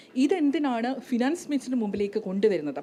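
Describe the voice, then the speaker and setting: Against noticeable background noise, a woman speaks in a Kerala accent. Her voice is fairly high, with lively intonation. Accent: Malayali accent in English. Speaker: economist. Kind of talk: panel talk at business conclave.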